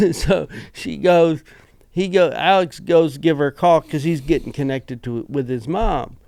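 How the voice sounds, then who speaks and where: A fairly high-pitched man with a Southern US accent, ordinary pitch variation and a moderate pace. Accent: Southern-sounding speech. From rural eastern Washington. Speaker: podcast co-host. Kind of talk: casual chat. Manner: halting.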